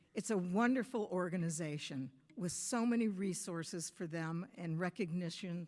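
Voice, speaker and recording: On a very clean recording with a silent background, a woman with a US Midwestern accent talks at a fairly slow pace in a medium-pitched voice. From US Midwest, Michigan. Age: 70s. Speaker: softball coach, hall of fame inductee. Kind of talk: acceptance speech.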